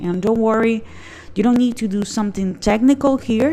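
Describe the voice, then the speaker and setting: At a fairly quick pace, a woman with an unremarkable speaking voice talks in a fairly high pitch with fairly even intonation. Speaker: online business youtuber. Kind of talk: tutorial.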